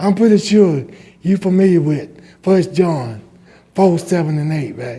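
With a Southern US accent, a man with a high pitch and a dark, mellow tone talks at a fairly slow pace with lively intonation and long, frequent pauses. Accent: Southern US (Georgia). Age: 60s. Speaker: resident speaking at public comment. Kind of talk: public comment. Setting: county commission meeting.

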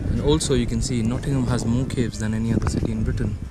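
The pace is moderate and the sound is dry with no echo. Loud background noise runs underneath. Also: man. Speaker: travel vlogger. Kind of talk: casual vlog chat. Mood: cheerful, amused. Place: street. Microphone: phone near.

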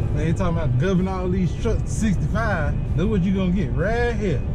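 The speaker keeps a moderate pace with music playing behind. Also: man. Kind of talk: casual vlog chat. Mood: relaxed, joking. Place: car. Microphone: phone near.

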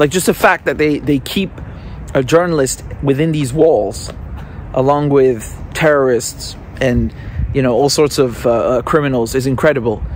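A man speaks at a moderate pace, with light noise behind him. The sound is dry, with no echo. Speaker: independent journalist. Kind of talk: commentary. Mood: indignant, critical. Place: street. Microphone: phone near.

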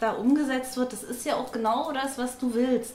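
A woman talks at a moderate pace. Room echo is audible. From East Germany. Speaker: party member. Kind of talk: interview testimony. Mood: warm, committed. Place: home room. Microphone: lapel.

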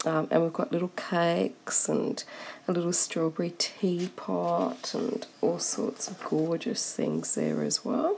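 A woman with an Australian accent speaks at a very slow pace. Noticeable background noise is present. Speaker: coloring book reviewer. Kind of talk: product review. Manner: animated, excitable.

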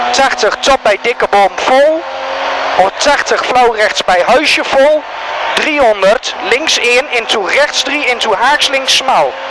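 The speech moves at a very slow pace. The sound is dry with no echo, though background noise is noticeable. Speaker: rally co-driver. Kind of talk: rally pace notes read aloud. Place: car. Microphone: helmet.

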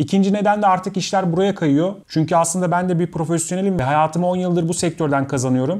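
Over a quiet background, a man speaks very fast at a high pitch with hardly any pauses, his intonation fairly even and his loudness very even. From Istanbul, Turkey; Turkey. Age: 30s. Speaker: YouTuber and video editor; YouTuber. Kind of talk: talking-head Q&A monologue. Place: home room.

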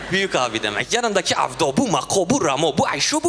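A man talks with very wide swings in pitch. Music plays in the background. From Diyarbakır, Turkey. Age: 20s. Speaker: amateur stand-up comedian. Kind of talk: stand-up comedy routine.

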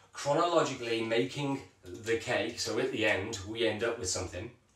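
With audible room echo, a man talks at a moderate pace with ordinary pitch variation. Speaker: events vlogger. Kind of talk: casual vlog chat. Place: kitchen.

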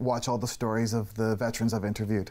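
The speaker rushes along at a very fast pace in a Canadian accent with monotone, flat intonation. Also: man. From Canada. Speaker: filmmaker; interview guest, documentary interviewer. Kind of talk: TV interview. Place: studio.

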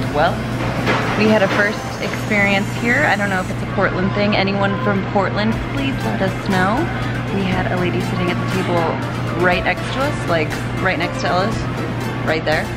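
Loud music plays behind the speaker, who talks at a moderate pace. The pauses are long and frequent. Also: woman. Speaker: vlogger. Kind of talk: casual vlog chat. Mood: amused, storytelling. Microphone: phone near.

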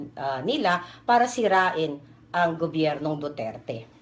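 With lively intonation, a woman speaks at a fairly slow pace in a very deep, low pitch. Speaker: political video blogger. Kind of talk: political commentary vlog.

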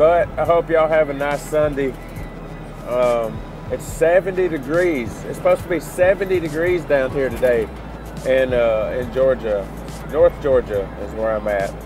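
A man talks at a moderate pace with ordinary pitch variation, in a dry sound with no echo and clear music in the background. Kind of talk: casual vlog chat. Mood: relaxed, cheerful. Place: car. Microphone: phone near.

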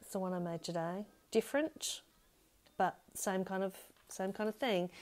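A dark, mellow, upbeat tone in an Australian accent at a moderate pace. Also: woman. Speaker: craft demonstrator. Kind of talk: live tutorial. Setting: home stamping room, live stream. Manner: chatty, upbeat. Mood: warm, cheerful. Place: home room. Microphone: webcam.

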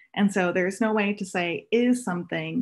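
Against a quiet background, a woman speaks at a moderate pace in a somewhat breathy voice with ordinary pitch variation. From Oahu, Hawaii; Hawaii. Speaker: astronomy outreach assistant; guest. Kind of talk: presentation. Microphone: video call.

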